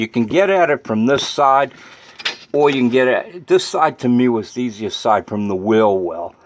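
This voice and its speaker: A man with a plain, everyday voice and a medium pitch speaks with lively intonation. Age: 60s. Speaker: DIY car repair video maker. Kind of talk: tutorial. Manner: casual, conversational.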